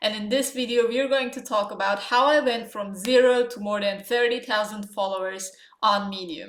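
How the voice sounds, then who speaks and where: A woman with a non-native accent speaks with ordinary pitch variation and big swings in loudness. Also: fairly high pitch for a woman, moderate pace. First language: not English. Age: 20s. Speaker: writing coach and online entrepreneur. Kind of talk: vlog tutorial. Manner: casual with frequent fillers.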